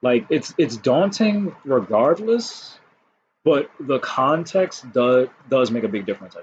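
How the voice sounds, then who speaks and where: Somewhat breathy, a man talks at a fairly slow pace, his loudness swinging widely and his pitch rising and falling over a very wide range. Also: fairly high pitch for a man. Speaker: card game youtuber. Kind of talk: casual monologue. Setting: home recording on laptop.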